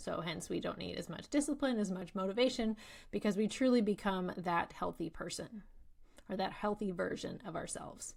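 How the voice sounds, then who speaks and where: In a very clean recording with a silent background, a woman speaks with an American accent. Her pitch is medium, with ordinary variation, at a moderate pace. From England. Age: 30s. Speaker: nutritionist and podcast host. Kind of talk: podcast monologue.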